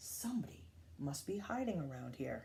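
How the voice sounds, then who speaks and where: A female-sounding, put-on character voice sits at a low-to-middle pitch. It moves at a moderate pace over clear background noise. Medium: read story.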